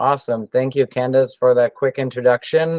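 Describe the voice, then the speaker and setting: A man talks with a German accent. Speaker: education technology director. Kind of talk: webinar presentation.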